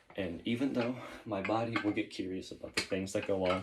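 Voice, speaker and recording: A man talking at a moderate pace with ordinary pitch variation. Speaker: YouTuber doing push-up workout. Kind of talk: casual monologue while exercising.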